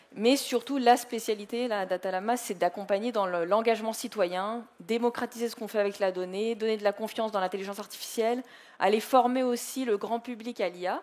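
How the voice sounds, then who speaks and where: Speaking at a fairly quick pace with hardly any pauses, a woman keeps a fairly high pitch and fairly even intonation. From France. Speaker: data and AI entrepreneur, conference speaker. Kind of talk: conference talk.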